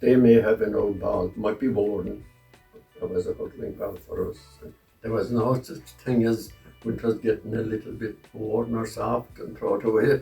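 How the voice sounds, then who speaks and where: There is music in the background as a man speaks. He has a West Cork accent and a moderate pace. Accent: West Cork Irish. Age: 80s+. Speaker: hurley repairer and club committee member. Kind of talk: interview answer.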